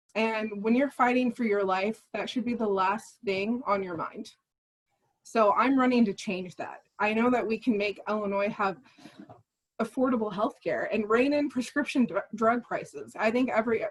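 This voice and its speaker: Somewhat breathy and fairly high-pitched, a woman speaks with an American accent. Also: ordinary pitch variation, moderate pace. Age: 20s. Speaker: political candidate. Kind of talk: candidate forum speech.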